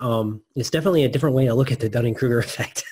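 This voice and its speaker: This man talks at a very fast pace. His tone is dark and mellow and somewhat breathy. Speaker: podcast host. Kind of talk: interview conversation. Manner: quiet.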